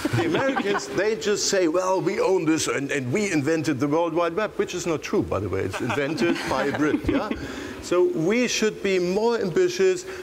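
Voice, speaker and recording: A man with a German accent speaks amid noticeable background noise and audible room echo. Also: moderate pace. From Germany. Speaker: tech entrepreneur panelist. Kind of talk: panel discussion.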